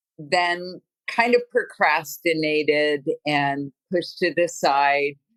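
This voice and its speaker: A woman speaks at a very slow pace with a very deep, low pitch. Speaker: teacher living with ALS. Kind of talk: interview. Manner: slowed speech.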